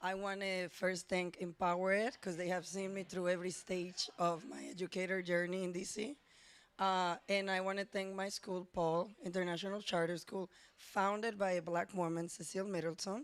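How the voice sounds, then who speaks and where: With a Spanish accent, a woman talks at a moderate pace in a medium pitch and a monotone, flat intonation. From Dominican Republic, San Pedro de Macorís. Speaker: teacher. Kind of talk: personal storytelling and reading aloud.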